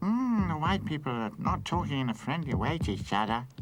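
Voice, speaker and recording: A man performs a cartoonish character voice at medium pitch with very wide pitch swings and a fairly quick pace. Clear background noise is present. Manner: chatty, fussy.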